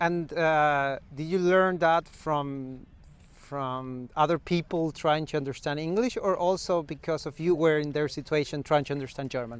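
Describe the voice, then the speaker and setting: With a non-native accent, a man speaks at a moderate pace and a fairly high pitch, keeping his intonation fairly even. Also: quiet background. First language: non-native English speaker. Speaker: interviewer. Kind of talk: interview.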